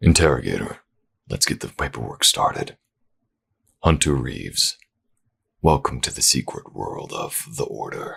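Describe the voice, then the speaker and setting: A put-on character voice at a moderate pace, broken by long, frequent pauses. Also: man. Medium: read story. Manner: formal, authoritative.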